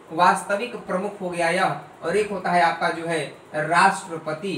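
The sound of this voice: There is audible room echo as a man talks in a high pitch with a bright, sharp tone and fairly even intonation.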